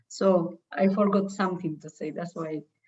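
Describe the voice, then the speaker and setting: With a non-native accent, a woman speaks at a moderate pace in a fairly low, somewhat breathy voice of dark, mellow tone and fairly even intonation. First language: not English. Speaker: trainee presenter. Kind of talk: feedback discussion.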